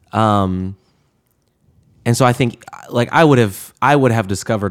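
A very clean recording with a silent background: a man's moderate pace, his pitch varying in an ordinary way. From US South, Atlanta, Georgia. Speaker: campus ministry assistant director and musician. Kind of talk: interview, reflective personal story. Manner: conversational, with many fillers.

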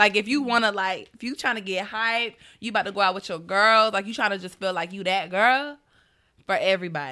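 A woman with a Southern US accent speaks at a fairly quick pace in a medium pitch, with a bright, sharp tone and ordinary pitch variation, in a very clean recording with a silent background. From US South, Atlanta, Georgia. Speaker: publicist. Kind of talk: casual chat.

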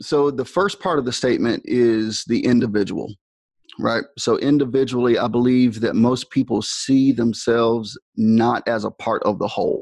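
A man talks in an unremarkable speaking voice at medium pitch. His intonation is fairly even and his pace is moderate. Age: 40s. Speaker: school dean and band director. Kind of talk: interview conversation.

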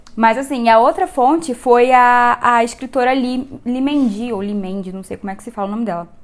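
This woman speaks in a fairly high voice with ordinary pitch variation. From Rio de Janeiro, Brazil. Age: 20s. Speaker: photographer and writer. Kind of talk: casual chat.

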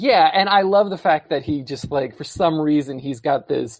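It is an unremarkable speaking voice with ordinary pitch variation. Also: man. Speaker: recurring guest. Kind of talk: casual chat.

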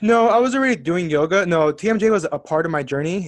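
Here is a man with an American accent. He talks at a very fast pace with ordinary pitch variation. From Southern California. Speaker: life coach and yoga teacher. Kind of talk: casual interview chat.

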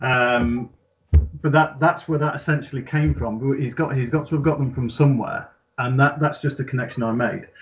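With fairly even intonation, a man speaks at a fairly high pitch in a somewhat breathy voice. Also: moderate pace. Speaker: gaming community admin. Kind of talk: casual chat.

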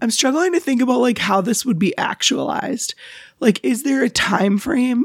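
A woman speaks at a moderate pace with lively intonation and a somewhat breathy voice. The sound is dry and close, with no echo. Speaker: podcast co-host. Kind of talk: casual chat.

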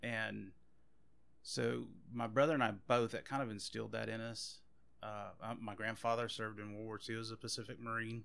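Speaking at a moderate pace, a man with a Louisiana accent talks in a medium pitch with monotone, flat intonation. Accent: Louisiana Southern US. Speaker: police officer. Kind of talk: casual chat.

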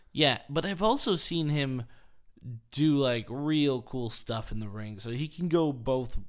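An ordinary speaking voice, fairly slow, with lively intonation over a quiet background. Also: man, fairly high pitch for a man. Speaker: podcast host, wrestling fan. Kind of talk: casual chat, podcast.

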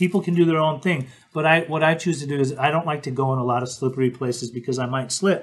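A man with an American accent, very fast and somewhat breathy, at a fairly high pitch with ordinary pitch variation. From Utah, Salt Lake City. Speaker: podcast host, interventionist. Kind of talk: casual chat. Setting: live stream.

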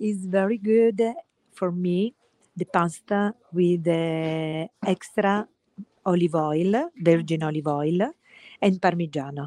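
In an Italian accent, a woman speaks at a very slow pace with a dark, mellow tone, a fairly low pitch, and ordinary pitch variation, the sound dry and close with no echo. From Italy (Orvieto, Umbria). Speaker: gelato chef. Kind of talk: casual interview. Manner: halting.

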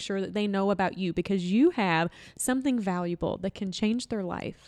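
Speaking in a Southern accent, a woman uses a medium pitch and lively intonation. The recording is very clean with a silent background. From Louisville, Kentucky. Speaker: author and marketing business owner. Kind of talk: casual interview.

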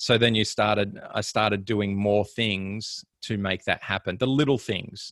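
A man with an Australian accent speaks at a fairly slow pace with hardly any pauses, in a fairly low pitch and fairly even intonation. The recording is very clean, with a silent background. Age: 30s. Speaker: professional triathlete. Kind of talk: casual interview chat.

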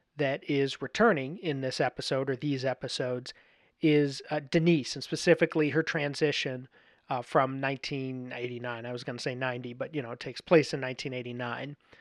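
A man speaks fairly quickly in a plain, everyday voice at medium pitch, with fairly even intonation and big swings in loudness. The sound is dry and close with no echo, on a very clean recording with a silent background. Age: 30s. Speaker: podcast host. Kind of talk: solo episode commentary on a TV series.

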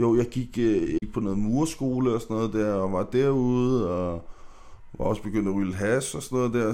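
The man's voice has a dark, mellow tone. Fairly even intonation marks his delivery. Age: 30s. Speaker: podcast guest. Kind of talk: casual chat. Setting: studio. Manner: halting, many fillers.

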